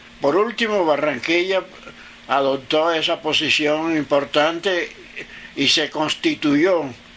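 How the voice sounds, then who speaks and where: Against noticeable background noise, a man with a fairly high pitch talks at a very slow pace, his loudness very even. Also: ordinary pitch variation. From Caribbean coast of Colombia, Sabanalarga (Atlántico). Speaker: interviewee recounting his life. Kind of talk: interview. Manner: halting.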